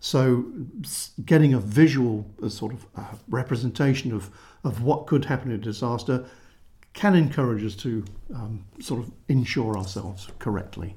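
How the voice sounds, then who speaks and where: At a moderate pace, a man with a medium pitch and a dark, mellow tone sounds somewhat breathy, with big swings in loudness. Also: ordinary pitch variation. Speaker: financial planner. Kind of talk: podcast conversation. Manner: animated, gesturing a lot.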